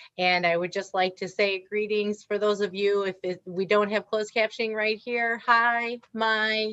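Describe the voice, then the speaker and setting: In a Wisconsin accent, a woman speaks at a medium pitch with monotone, flat intonation. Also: hardly any pauses. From Wisconsin, US Midwest. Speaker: author and diversity speaker. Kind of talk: interview.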